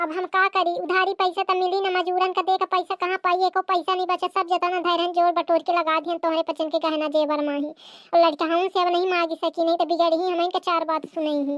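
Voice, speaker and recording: A cartoonish character voice, female-sounding and extremely high in pitch, moves at a fairly quick pace with hardly any pauses. Its intonation is monotone and flat. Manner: cunning, wheedling.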